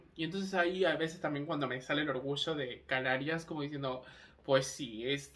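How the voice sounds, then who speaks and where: A man's fairly high-pitched voice at a fairly quick pace, with fairly even intonation, audible room echo and noticeable background noise. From Canary Islands (Tenerife), Spain; born in Argentina. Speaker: vlogger. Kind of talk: casual monologue vlog. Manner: hesitant, many fillers.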